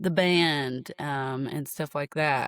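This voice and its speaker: In an American accent, a woman speaks at a very deep, low pitch with ordinary pitch variation, on a very clean recording with a silent background and a dry, close sound with no echo. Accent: Appalachian accent, shows at times. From Appalachia, Clintwood, Virginia. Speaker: singer and guitarist. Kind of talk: interview. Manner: halting, repeats words.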